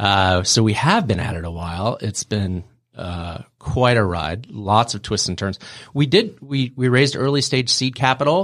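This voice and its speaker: On a very clean recording with a silent background, a man in an ordinary speaking voice talks at a fairly slow pace, his pitch fairly low with ordinary pitch variation. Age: 40s. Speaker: startup founder and CEO. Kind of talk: podcast interview.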